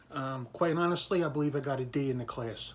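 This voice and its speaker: A man with an American accent speaks at a moderate pace in a fairly high pitch, with ordinary pitch variation. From Philadelphia area and Virginia, US. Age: 50s. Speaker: government employee sharing personal political story. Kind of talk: personal testimony monologue. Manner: hesitant, many fillers.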